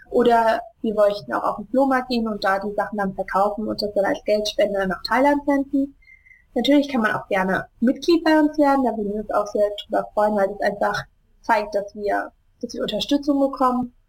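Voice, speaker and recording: A woman with a fairly high pitch and ordinary pitch variation talks at a moderate pace in an unremarkable speaking voice. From Germany, Hesse (Wiesbaden). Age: 20s. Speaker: charity founder. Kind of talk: interview. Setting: Skype call.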